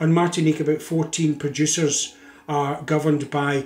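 There is audible room echo as a man talks with a Scottish accent. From Scotland. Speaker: drinks industry educator and video host. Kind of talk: scripted educational narration. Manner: measured with frequent filler uhs. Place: home room.

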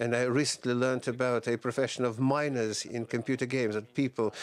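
With fairly even intonation, a man speaks in a dry sound with no echo. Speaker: panel moderator. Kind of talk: opening remarks at a panel discussion. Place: hall. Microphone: podium.

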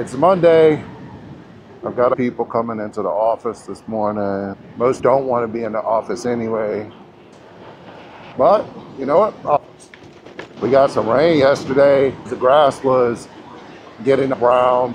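Fairly slow delivery from a man, with ordinary pitch variation, long and frequent pauses, and light background noise. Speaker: commuter vlogger. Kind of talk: casual vlog chat. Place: street. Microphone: camera far.

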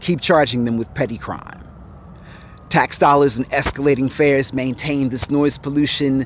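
Light background noise runs under a man's voice. The sound is dry, without any echo. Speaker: poet. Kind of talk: spoken-word poem performance about graffiti. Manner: rhythmic, punchy, defiant delivery. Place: street. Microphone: phone near.

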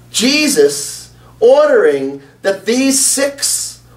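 Audible room echo around a man's voice. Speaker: preacher. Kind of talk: sermon.

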